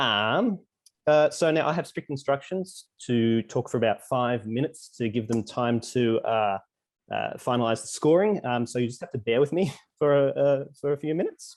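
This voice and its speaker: A man with an Australian accent talks at a medium pitch. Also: ordinary pitch variation, moderate pace. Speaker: bird trivia writer and podcaster. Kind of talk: casual online presentation.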